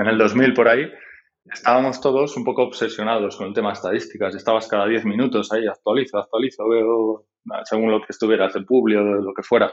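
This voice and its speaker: Talking very fast, a man keeps a medium pitch with fairly even intonation. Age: 40s. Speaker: tech entrepreneur, website founder. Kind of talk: interview.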